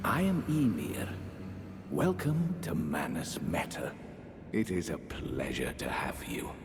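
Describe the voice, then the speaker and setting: Using a put-on character voice, a man speaks at a fairly slow pace with long, frequent pauses over loud background noise. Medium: video game. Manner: polite, measured, genteel.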